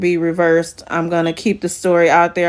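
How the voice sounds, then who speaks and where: A woman speaks with a fairly low pitch. The recording is very clean, with a silent background. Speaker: sister of a murder victim. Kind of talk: testimony. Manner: halting.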